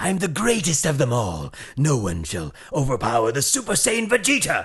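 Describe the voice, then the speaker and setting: Put-on character voice from a man, fairly high in pitch, at a moderate pace over light background noise. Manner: proud, powerful, declamatory.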